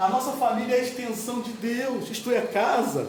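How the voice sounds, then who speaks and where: A man's extremely high-pitched voice at a fairly slow pace, with noticeable background noise and audible room echo. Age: 60s. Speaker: lay preacher. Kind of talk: sermon.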